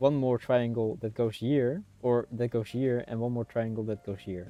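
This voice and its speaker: The man speaks at medium pitch with fairly even intonation. The background is quiet. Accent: Dutch. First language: Dutch. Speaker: streamer. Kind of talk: casual chat. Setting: livestream. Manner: halting.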